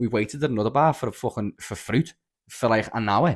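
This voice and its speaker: Someone with a strong Scouse accent talks very fast in an animated tone with ordinary pitch variation, on a very clean recording with a silent background. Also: man. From Liverpool. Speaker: podcast guest. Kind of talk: casual chat.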